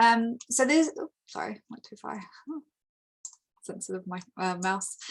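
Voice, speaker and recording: With an American accent, an unremarkable speaking voice moves at a moderate pace with lively intonation. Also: woman. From United States. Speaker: international education representative. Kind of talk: webinar presentation. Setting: online webinar.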